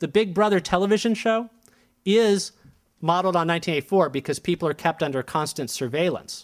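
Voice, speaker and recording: Recorded very cleanly over a silent background, a man with an American accent speaks at a high pitch. His pace is moderate and his pitch variation ordinary. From United States. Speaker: professor, China historian. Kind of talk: lecture.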